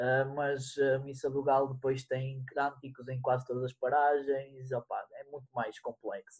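Somewhat breathy and monotone, with flat intonation, a man at a medium pitch speaks at a fairly slow pace with hardly any pauses, in a dry, close sound with no echo. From northern Portugal, Guimarães area. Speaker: podcaster. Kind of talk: casual chat.

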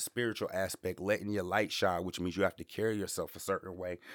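Recorded very cleanly against a silent background, a man speaks at a fairly low pitch with fairly even intonation. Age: 30s. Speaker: podcast host. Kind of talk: motivational monologue. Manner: casual, slangy.

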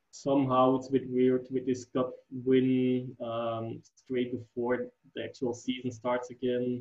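The speaker has a Dutch accent and talks at a fairly slow pace. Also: man. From Flanders, Belgium. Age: 20s. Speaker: football fan guest. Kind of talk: casual chat. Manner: halting.

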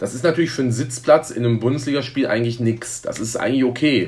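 A man's normal speaking voice, medium in pitch, at a fairly quick pace. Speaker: football fan representative. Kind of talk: interview.

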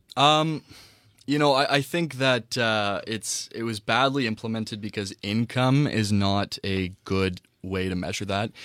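An ordinary speaking voice from a man with a Canadian accent, medium-pitched and fairly slow with ordinary pitch variation, on a very clean recording with a silent background. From Ontario, Canada (Whitby). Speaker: student panelist. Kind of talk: panel discussion.

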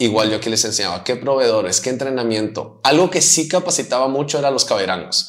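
The pace is very fast, with hardly any pauses. The intonation is lively. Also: man, medium pitch for a man. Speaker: pastor. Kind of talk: interview conversation.

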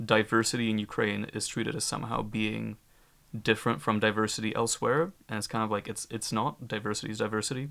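Over a very clean recording with a silent background, a man talks at a fairly quick pace with vocal fry. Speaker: discussion panelist. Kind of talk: panel discussion.

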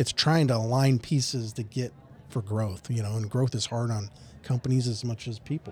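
A man with a medium pitch sounds somewhat breathy, talking at a moderate pace with fairly even intonation. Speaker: operations director. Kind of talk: casual interview chat.

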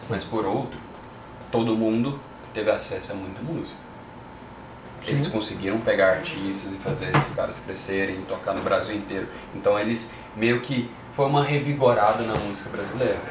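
A man at a medium pitch and moderate pace, with ordinary pitch variation, long, frequent pauses and noticeable background noise. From Goiânia, Brazil. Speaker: music podcast host. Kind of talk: casual chat. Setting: live stream.

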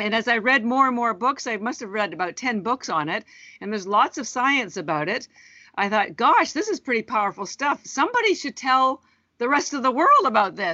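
A high-pitched woman with a Canadian accent, lively intonation and a fairly quick pace. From Canada. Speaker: entrepreneur. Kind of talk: interview.

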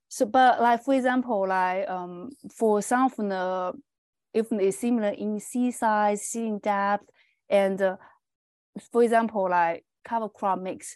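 With a Chinese accent, a woman speaks at a fairly slow pace. Her voice is fairly high and her intonation fairly even. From China. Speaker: agronomy professor. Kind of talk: interview. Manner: halting, many fillers.

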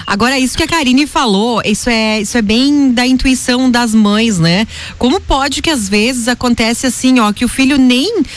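A high-pitched woman at a moderate pace. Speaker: radio host. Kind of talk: live radio show. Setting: radio studio.

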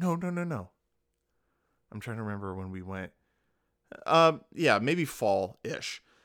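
Over a silent background in a very clean recording, a man at medium pitch speaks in an animated tone at a moderate pace, with very wide pitch swings, big swings in loudness and long, frequent pauses. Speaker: podcast co-host. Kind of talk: casual chat. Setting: home studio.

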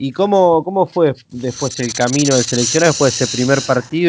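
Speaking at a fairly quick pace with hardly any pauses, a man with a Rioplatense accent uses a medium pitch and ordinary pitch variation. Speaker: podcast host. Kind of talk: interview. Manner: halting.

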